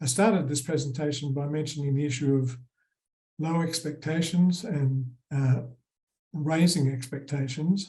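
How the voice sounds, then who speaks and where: In an Australian accent, a man with a fairly high pitch and a dark, mellow, somewhat breathy tone speaks at a moderate pace, with long, frequent pauses and audible room echo. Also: fairly even intonation. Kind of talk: conference presentation.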